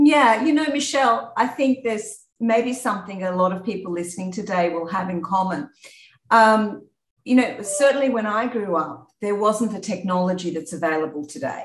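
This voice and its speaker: A woman talks at a moderate pace in an Australian accent. Her intonation is lively. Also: medium pitch for a woman. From Australia, rural New South Wales. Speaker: insurance executive. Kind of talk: interview.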